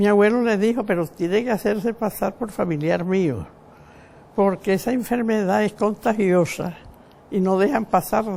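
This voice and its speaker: Her voice has a dark, mellow tone and a medium pitch for a woman. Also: ordinary pitch variation, moderate pace. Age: 90s. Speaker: elderly woman recounting family history. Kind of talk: oral history interview. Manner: reminiscing, conversational.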